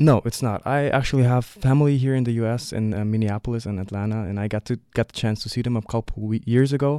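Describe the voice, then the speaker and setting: In a very clean recording with a silent background, a man with a German accent speaks at a very fast pace and hardly pauses, his dark, mellow tone at a medium pitch with fairly even intonation. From Leipzig, eastern Germany. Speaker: student visitor. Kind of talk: interview. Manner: halting, many fillers.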